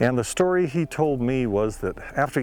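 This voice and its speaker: Music fills the background. Over it, a man talks with lively intonation. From Montana. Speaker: local history narrator. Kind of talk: reminiscing narration.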